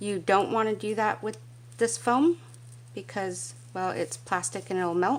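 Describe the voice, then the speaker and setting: A woman's voice at medium pitch. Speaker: craft video creator. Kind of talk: craft tutorial. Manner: casual, chatty.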